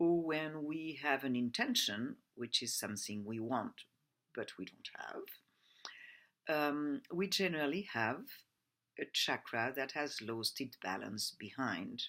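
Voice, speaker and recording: The speaker uses a very slow pace and a French accent. The recording is very clean, with a silent background. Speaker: personal development coach. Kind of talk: presentation. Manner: halting.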